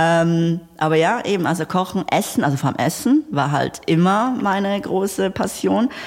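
With an ordinary speaking voice, a woman talks at a medium pitch and a fairly slow pace. Her intonation is lively, and her loudness stays very even. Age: 30s. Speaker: entrepreneur. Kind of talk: interview.

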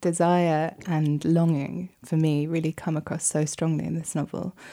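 A woman with a British accent speaks at a very deep, low pitch. Her intonation is monotone and flat, on a very clean recording with a silent background. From Britain. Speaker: podcast host. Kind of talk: interview; scripted introduction. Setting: studio.

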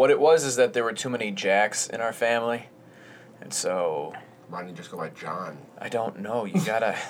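A man with a plain, everyday voice talks at medium pitch and a moderate pace, his intonation lively and his loudness swinging widely. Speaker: podcast host. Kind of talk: casual banter podcast. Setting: studio. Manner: rambling, self-deprecating, joking.

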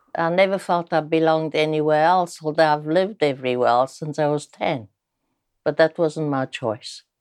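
A woman speaks at a moderate pace in a very deep, low pitch. The sound is dry and close with no echo, over a quiet background. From southern Italy (Maddaloni, near Naples). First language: Italian. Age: 80s. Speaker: retired teacher. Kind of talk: life-story interview. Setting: at home, in her flat. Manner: animated, laughs often.

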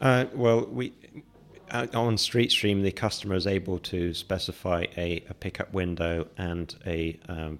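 A man with a London accent speaks at a very deep, low pitch. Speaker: startup founder and CEO. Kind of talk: interview. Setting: studio. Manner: halting.

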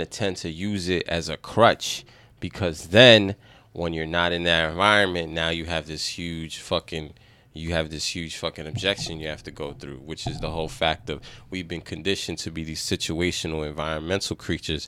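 Speaking with a very deep, low pitch and a bright, sharp tone, a man keeps a moderate pace and fairly even intonation while his loudness swings a lot. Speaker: podcast co-host. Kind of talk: casual, slangy, heavy profanity.

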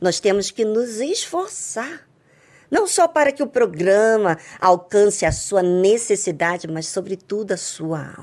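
Here is an ordinary speaking voice at a fairly slow pace. Its intonation is lively. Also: woman, medium pitch for a woman. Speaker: radio host. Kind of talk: devotional radio talk.

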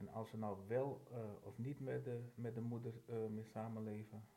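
Somewhat breathy, a man speaks. His tone is dark and mellow. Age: 50s. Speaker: firefighter. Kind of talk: casual chat.

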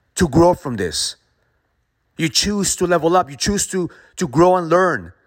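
On a very clean recording with a silent background, a man speaks in an intense tone at a moderate pace. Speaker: motivational speaker. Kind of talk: pep talk. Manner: intense, forceful, motivational; emphatic, punchy repetition.

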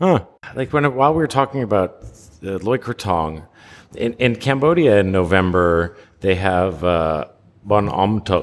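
In an ordinary speaking voice, the speaker goes at a fairly slow pace with lively intonation. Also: man, fairly low pitch for a man. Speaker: podcast co-host. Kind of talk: casual chat. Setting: remote call. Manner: casual, filler-heavy.

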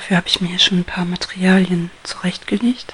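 In a gentle, calm tone, a woman speaks fairly slowly at medium pitch with a monotone, flat intonation. Noticeable background noise sits behind her. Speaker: ASMR crafter. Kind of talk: ASMR whisper tutorial, hushed craft explanation. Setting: home recording with microphone, guinea pigs rustling. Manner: soft-spoken, slow and gentle, calm; halting, with pauses and rustling paper sounds.

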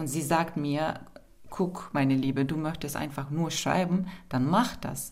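With audible room echo, a woman in a very deep, low voice speaks at a fairly slow pace. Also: ordinary pitch variation. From Turkey, Istanbul. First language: Turkish (speaking German). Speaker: poet. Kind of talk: interview.

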